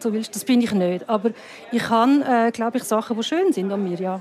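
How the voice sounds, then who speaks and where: At a fairly quick pace, a woman talks with fairly high pitch. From Switzerland. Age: 50s. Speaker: filmmaker. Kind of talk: casual chat. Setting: bar. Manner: halting.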